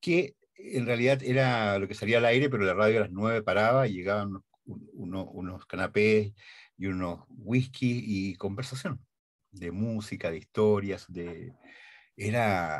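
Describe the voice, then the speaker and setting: Against a quiet background, a man talks at a fairly slow pace. His pitch is fairly low, with ordinary pitch variation. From Chile. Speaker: radio and TV announcer. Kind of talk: interview answer. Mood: warm, nostalgic. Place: studio.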